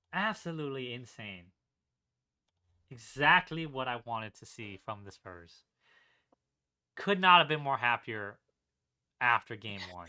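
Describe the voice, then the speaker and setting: A man speaks at a fairly slow pace in a medium pitch, with a bright, sharp, animated tone and long, frequent pauses. His pitch swings very widely and his loudness rises and falls in big jumps. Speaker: basketball podcast co-host. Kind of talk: casual chat.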